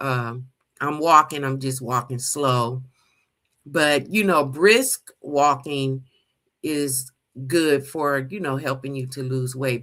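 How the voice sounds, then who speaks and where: Here a woman speaks at a very slow pace with fairly even intonation. Her pitch is very deep and low, and her tone is bright and sharp. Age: 60s. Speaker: livestream host / lifestyle vlogger. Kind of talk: casual live chat with viewers. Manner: conversational, filler-heavy.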